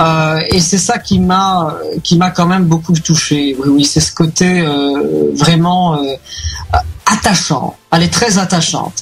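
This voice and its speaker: Someone speaks at a very slow pace with a Belgian accent. Noticeable background noise runs throughout. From Belgium. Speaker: reality TV contestant. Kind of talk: radio interview. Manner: halting, many fillers and repetitions.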